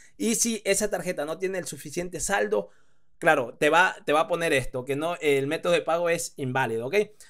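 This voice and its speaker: The recording is very clean with a silent background. A man talks at a fairly quick pace with a high pitch and ordinary pitch variation. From Spain. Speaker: online business teacher. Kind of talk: screen-recorded tutorial. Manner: hesitant, many fillers.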